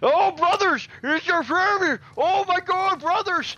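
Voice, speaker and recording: This put-on character voice sits at an extremely high pitch and keeps a moderate pace. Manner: mocking, melodramatic.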